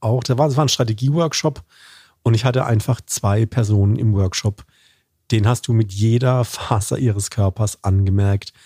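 A man's somewhat breathy voice, dark and mellow in tone and very even in loudness, dry and close with no echo, on a very clean recording with a silent background. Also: medium pitch for a man, ordinary pitch variation, moderate pace. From Baden, southwestern Germany. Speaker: corporate communications manager and lecturer. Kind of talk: interview conversation.

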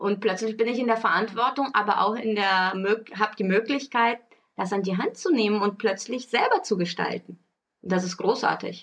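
A woman speaks with a normal speaking voice at a fairly high pitch. Her pace is moderate and her intonation fairly even. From Brazil. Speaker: podcast co-host, parenting blogger and mother. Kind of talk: casual chat.

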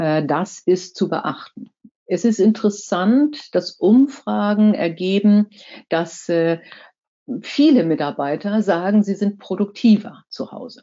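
A woman speaks very slowly at a medium pitch. Her intonation is lively. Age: 60s. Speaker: corporate board member and former finance executive. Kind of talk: talk to a professional association. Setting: virtual online event.

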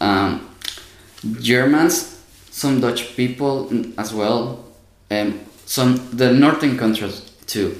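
Someone with a Spanish accent speaks at a very slow pace with long, frequent pauses, amid noticeable background noise and audible room echo. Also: man, medium pitch for a man, ordinary pitch variation. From Mexico. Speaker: university student. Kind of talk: casual interview.

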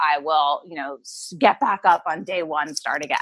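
A woman with an ordinary speaking voice talks at a moderate pace. Her pitch is fairly low and varies in an ordinary way. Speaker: intuitive eating coach. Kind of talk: casual interview.

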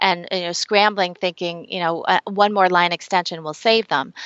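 Speaking with an American accent, a woman has an unremarkable speaking voice. Her pace is moderate and her intonation fairly even. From United States. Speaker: branding consultant. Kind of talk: interview.

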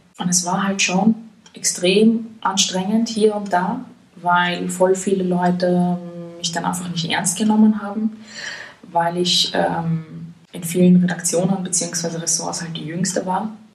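A woman with a medium-pitched voice speaks very slowly in a flat monotone, with audible room echo and noticeable background noise. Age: 20s. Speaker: journalist. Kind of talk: casual interview. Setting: in person.

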